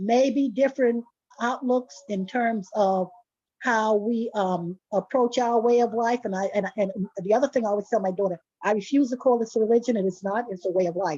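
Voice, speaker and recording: With a New York accent, a woman speaks at a fairly high pitch and a moderate pace. Her tone is dark and mellow, with ordinary pitch variation. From New York City (Harlem). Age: 80s+. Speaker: retired community volunteer. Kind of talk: self-introduction at an online community event. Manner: halting, with false starts.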